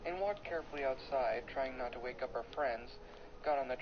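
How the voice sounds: What we hear is a natural reading voice. It carries the words from start to finish.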